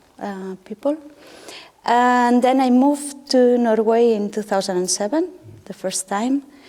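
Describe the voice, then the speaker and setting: A woman with a high pitch and ordinary pitch variation at a fairly slow pace, with noticeable background noise. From Spain, Catalonia (Terrassa). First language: Catalan or Spanish. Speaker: artist. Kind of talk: panel discussion.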